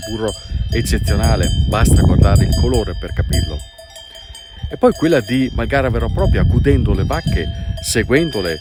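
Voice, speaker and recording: A man talks at a moderate pace, pausing long and often, with noticeable background noise behind him. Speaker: travel and food video host. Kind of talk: documentary voice-over narration.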